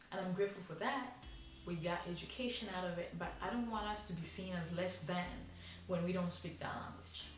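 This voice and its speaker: Amid noticeable background noise and audible room echo, a woman with a fairly low pitch speaks at a fairly quick pace with ordinary pitch variation. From Africa (Rwanda, Kinyarwanda-speaking). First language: Kinyarwanda. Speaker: vlogger. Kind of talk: unscripted rant to camera.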